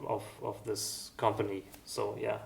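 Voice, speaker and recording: Over noticeable background noise, a man talks with a German accent. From East Germany. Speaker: music school founder and musician. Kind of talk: interview. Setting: music school. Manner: halting, many fillers.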